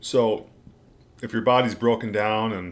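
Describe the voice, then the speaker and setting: In a very clean recording with a silent background, a man speaks with monotone, flat intonation. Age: 60s. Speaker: diet and health channel host. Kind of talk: livestream Q&A reading chat. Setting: livestream at home. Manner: casual.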